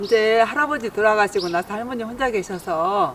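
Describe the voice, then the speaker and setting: Woman with lively intonation at a moderate pace, noticeable background noise behind her. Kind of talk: interview answer.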